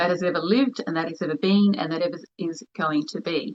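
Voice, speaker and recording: With an Australian accent, a woman speaks at a medium pitch. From New Zealand (Wairoa, Hawke's Bay), moved to Australia at ten. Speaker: spiritual healer. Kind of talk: online livestream talk.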